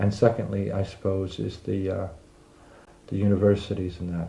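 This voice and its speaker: Somewhat breathy and dark, mellow in tone, the voice comes with an American accent. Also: man. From United States. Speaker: immigrant interviewee. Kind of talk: interview. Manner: hesitant, many fillers.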